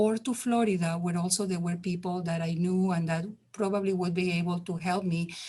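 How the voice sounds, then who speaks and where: The voice has a non-native accent, fairly even intonation and a somewhat breathy quality. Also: woman. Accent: foreign. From Spain. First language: Spanish. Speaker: community health worker ambassador. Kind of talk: testimony.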